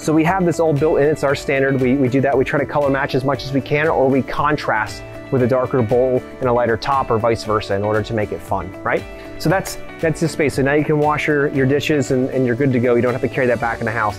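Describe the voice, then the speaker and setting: Over clear background music, a man speaks very fast with ordinary pitch variation. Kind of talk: walkthrough tutorial. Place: garden.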